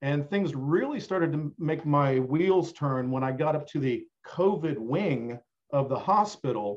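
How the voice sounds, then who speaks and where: A man's fairly high, slowish delivery in an ordinary speaking voice, its pitch varying in an ordinary way. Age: 50s. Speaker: podcast guest. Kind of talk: casual chat.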